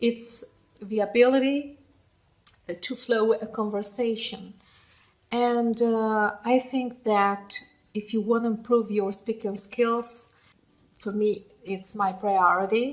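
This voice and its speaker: Very slowly and with long, frequent pauses, a woman with a fairly high pitch speaks in fairly even intonation. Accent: Italian. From Italy. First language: Italian. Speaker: English learner vlogger. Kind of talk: casual monologue. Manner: halting; mumbling.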